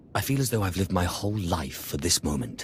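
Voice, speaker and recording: Against clear background noise, a man uses a put-on character voice with a very deep, low pitch at a very fast pace. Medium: video game.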